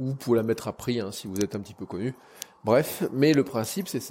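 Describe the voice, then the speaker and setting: A man's dark, mellow tone at a moderate pace. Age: 40s. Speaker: podcaster. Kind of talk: casual solo monologue. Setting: home kitchen. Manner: halting.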